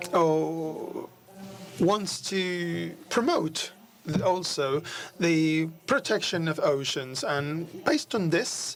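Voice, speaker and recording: The speech moves at a very slow pace, with noticeable background noise throughout. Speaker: hotel company representative. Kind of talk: conference panel talk.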